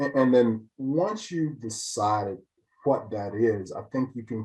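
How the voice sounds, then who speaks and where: Over a quiet background, a man speaks at a fairly slow pace with lively intonation. His voice is somewhat breathy. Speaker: financial services business owner. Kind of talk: client testimonial interview. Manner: hesitant, with fillers and repetitions.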